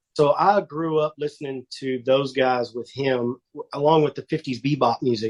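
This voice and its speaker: In a Texan accent, a man talks with hardly any pauses and fairly even intonation, the sound dry and close with no echo. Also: fairly high pitch for a man. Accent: Texan accent, drawl. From Northeast Texas. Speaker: country music singer. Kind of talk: casual interview.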